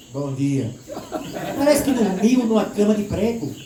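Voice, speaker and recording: A man with an animated tone and lively intonation, amid audible room echo and noticeable background noise. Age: 60s. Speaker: spiritist lecturer. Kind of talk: lecture. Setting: stage with audience.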